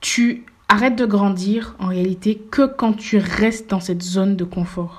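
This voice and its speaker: Here a woman has a medium pitch and a somewhat breathy voice. Her pitch variation is ordinary. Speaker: podcast host. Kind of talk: motivational monologue.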